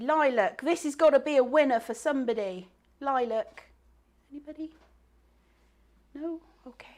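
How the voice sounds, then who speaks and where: Pausing long and often, a woman with a Bristolian accent speaks at a moderate pace in a high pitch with lively intonation. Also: big swings in loudness. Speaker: craft teacher and live event host. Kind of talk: live stream bingo game. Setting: live online stream. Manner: animated.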